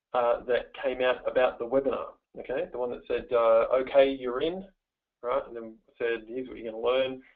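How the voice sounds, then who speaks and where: A man speaks with an Australian accent. His loudness swings a lot. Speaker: webinar presenter, money mindset coach. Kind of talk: webinar presentation. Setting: online webinar. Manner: fast; energetic, playful.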